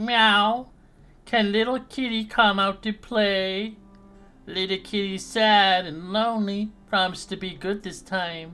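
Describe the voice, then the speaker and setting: A put-on character voice speaks at a fairly high pitch. The pace is fairly slow, with music in the background. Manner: meowing like a cat, coaxing.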